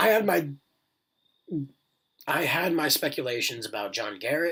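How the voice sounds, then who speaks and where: A man with a bright, sharp tone and vocal fry, very wide pitch swings, at a moderate pace. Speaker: YouTube TV reviewer. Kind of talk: casual video recap. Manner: halting, many fillers.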